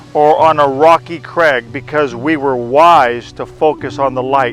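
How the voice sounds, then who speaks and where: A man's fairly high voice at a fairly slow pace, with fairly even intonation and music in the background. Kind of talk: devotional talk.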